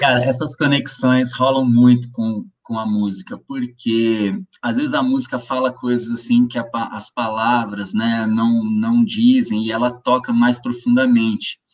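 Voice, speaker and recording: With a fairly slow pace and fairly even intonation, an ordinary speaking voice comes through. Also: man, medium pitch for a man. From interior of São Paulo state, Brazil (Ribeirão Preto). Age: 40s. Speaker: musician, guitarist. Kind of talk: casual interview chat.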